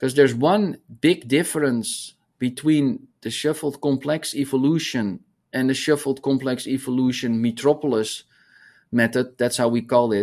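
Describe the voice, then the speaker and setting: A man with a Dutch accent, medium pitch and ordinary pitch variation, speaking at a moderate pace against a quiet background. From Netherlands. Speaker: hydrology professor. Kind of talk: interview conversation.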